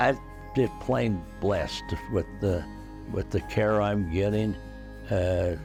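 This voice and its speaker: A man talks at a very slow pace with long, frequent pauses and very even loudness. Music plays in the background. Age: 80s+. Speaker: war veteran; hospice patient. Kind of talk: interview answer. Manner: halting, hesitant.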